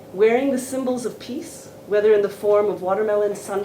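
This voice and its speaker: With noticeable background noise and audible room echo, a woman talks at a moderate pace. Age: 60s. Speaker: professor and seminar speaker. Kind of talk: academic seminar talk.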